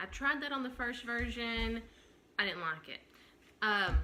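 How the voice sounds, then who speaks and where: A woman with a Southern US accent and a fairly high pitch, at a moderate pace. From Tennessee. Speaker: knitting podcaster. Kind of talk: casual show-and-tell vlog. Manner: many fillers, hesitant.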